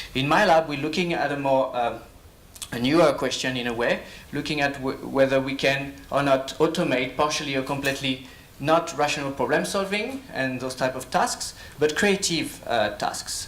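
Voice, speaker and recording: A man with a French accent speaks at a moderate pace in a fairly high voice with ordinary pitch variation, with audible room echo and noticeable background noise. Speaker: professor and lab director. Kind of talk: conference talk. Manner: hesitant, many fillers.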